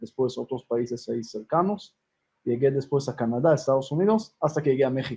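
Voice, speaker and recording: Medium in pitch, a man's voice carries a dark, mellow tone and sounds somewhat breathy. He moves at a fairly quick pace with ordinary pitch variation. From Israel, Jerusalem. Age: 30s. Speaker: rabbi and humanitarian organization founder. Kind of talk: interview.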